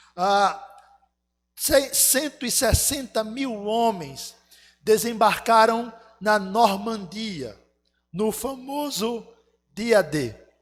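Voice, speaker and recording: Speaking at a very slow pace with long, frequent pauses, a man uses a high pitch and ordinary pitch variation. Music plays in the background, and the room echo is audible. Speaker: pastor. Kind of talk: sermon. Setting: church.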